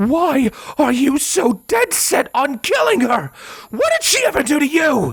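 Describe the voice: Using a put-on character voice, a man speaks at a fairly slow pace with an extremely high pitch, very wide pitch swings, vocal fry and a fairly bright tone.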